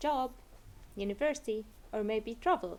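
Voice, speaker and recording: A woman speaks with an Egyptian accent. Her intonation is lively. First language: Arabic. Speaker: Arabic tutor. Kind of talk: tutor self-introduction to camera.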